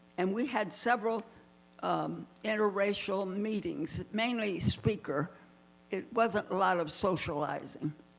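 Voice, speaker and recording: With an American accent, a woman speaks fairly slowly at a medium pitch. Her pitch varies in an ordinary way, and music plays in the background. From Miami, Florida. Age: 90s. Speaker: retired civil rights activist. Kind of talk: personal testimony, partly read from notes. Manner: halting.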